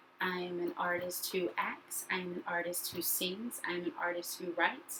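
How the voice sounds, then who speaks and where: A woman with a plain, everyday voice, medium pitch and a fairly slow pace. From US South, North Carolina. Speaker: actor and educator. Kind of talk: video self-introduction.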